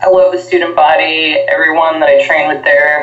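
The speaker has an American accent. Both audible room echo and noticeable background noise are present. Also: woman. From New Jersey, US. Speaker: professional wrestler. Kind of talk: casual interview.

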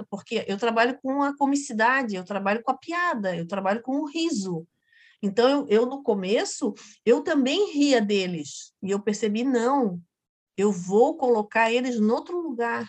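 A woman's fairly high voice with lively intonation at a fairly slow pace, over a quiet background. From Florianópolis island, Santa Catarina, Brazil. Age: 50s. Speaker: actress and clown. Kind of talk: casual interview chat.

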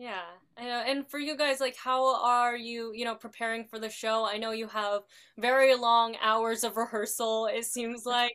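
On a very clean recording with a silent background, a woman with an unremarkable speaking voice talks at a moderate pace and a fairly high pitch. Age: young. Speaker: podcast host. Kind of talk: interview.

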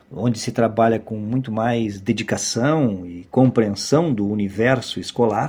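Dark, mellow tone with ordinary pitch variation, a fairly slow pace, hardly any pauses and big swings in loudness. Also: man, medium pitch for a man. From Brazil, Porto Alegre (Rio Grande do Sul). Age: 50s. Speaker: university professor. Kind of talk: oral history testimony. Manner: formal.

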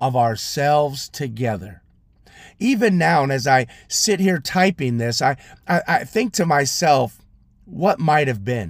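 This man has an unremarkable speaking voice, lively intonation and a fairly slow pace. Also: very clean recording, silent background. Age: 40s. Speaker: pastor and podcast host. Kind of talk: sermon-style solo podcast.

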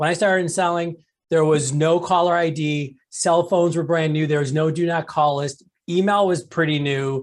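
This man has a normal speaking voice with a fairly high pitch. He talks at a moderate pace. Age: 40s. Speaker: sales author and keynote speaker. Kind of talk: podcast interview.

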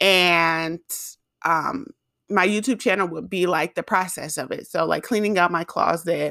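A woman speaks in a plain, everyday voice, fairly low in pitch, at a moderate pace. Her pitch varies in an ordinary way on a very clean recording with a silent background. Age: 20s. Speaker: podcast host and YouTuber. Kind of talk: casual monologue. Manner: casual, filler-heavy.

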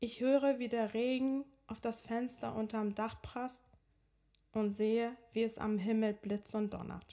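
In a fairly high voice, a woman speaks at a fairly slow pace with monotone, flat intonation. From Iran (Tehran), moved to Hamburg at 13. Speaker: podcast host and personal coach. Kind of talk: personal storytelling monologue.

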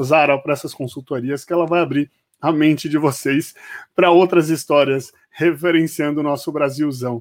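On a very clean recording with a silent background, a man with an unremarkable speaking voice and a fairly high pitch talks at a moderate pace. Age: 30s. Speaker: podcast host. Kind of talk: casual interview.

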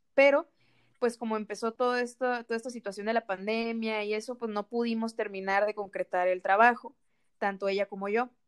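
A plain, everyday voice from a woman, fairly high in pitch, fairly even in intonation and at a fairly quick pace, with a dry, close sound and no echo. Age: 20s. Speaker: nutrition student, podcast co-host. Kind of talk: casual chat. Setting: recording separately at home.

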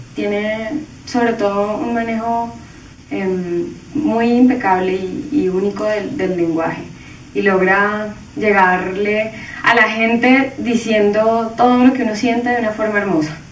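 Speaking at a fairly slow pace, a woman has fairly high pitch and ordinary pitch variation. Noticeable background noise and audible room echo come through. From Colombia. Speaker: band singer. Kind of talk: recorded video tribute message.

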